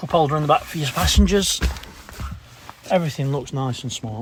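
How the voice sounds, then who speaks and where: A man speaks in a Derbyshire accent with lively intonation. His pace is fairly quick, and there is noticeable background noise. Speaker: car salesman. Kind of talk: product walkaround video. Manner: casual, slightly stumbling.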